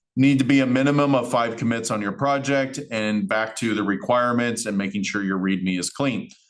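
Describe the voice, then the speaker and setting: Audible room echo around a man's medium-pitched speech, its pitch varying in an ordinary way. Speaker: college instructor. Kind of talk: lecture. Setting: recorded class session. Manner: fast.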